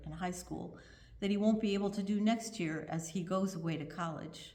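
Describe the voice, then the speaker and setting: The voice is somewhat breathy with a dark, mellow tone, ordinary pitch variation and a moderate pace, heard with audible room echo. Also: woman. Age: 70s. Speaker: congregation member giving a reflection. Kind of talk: prepared reflection read aloud in a service. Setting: virtual church service from home.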